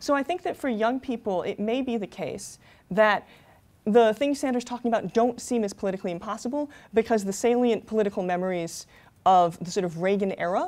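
Talking fairly quickly in a normal speaking voice, a woman has a fairly high pitch and lively intonation. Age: 30s. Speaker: author and political researcher. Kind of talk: panel presentation with slides. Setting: stage with audience. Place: classroom.

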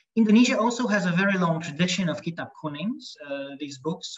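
Light background noise accompanies a man whose pitch variation is ordinary. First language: Hungarian. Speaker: lecturer. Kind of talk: lecture; Q&A answers. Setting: video call. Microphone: video call.

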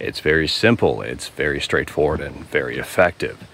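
The pace is moderate as a man speaks. Light background noise sits under a dry sound without echo. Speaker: nature walk vlogger. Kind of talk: casual vlog chat. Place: forest. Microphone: phone near.

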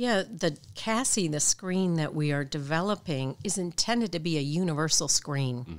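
This woman has a Midwestern American accent and a very deep, low pitch, with lively intonation. She talks at a moderate pace with hardly any pauses. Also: very clean recording, silent background. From Michigan, US Midwest. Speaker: clinical psychologist and professor. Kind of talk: interview. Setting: hotel room.

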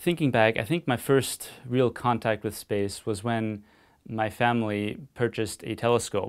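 In a quiet background, a man speaks at a medium pitch. His pace is fairly slow. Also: ordinary pitch variation. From Austria. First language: German. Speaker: physicist and analog astronaut. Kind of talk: interview answers. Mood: calm, quietly enthusiastic. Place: studio.

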